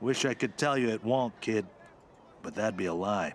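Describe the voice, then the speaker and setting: A raspy, put-on character voice from a man, medium in pitch, at a moderate pace, with clear background noise. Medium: video game. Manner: wry, blunt.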